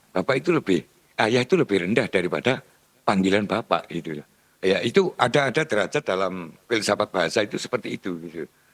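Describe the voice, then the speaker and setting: A man with a fairly low pitch speaks fairly quickly through very wide pitch swings. The sound is dry and close, with no echo. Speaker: speaker on local culture. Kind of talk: discussion forum talk. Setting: meeting room.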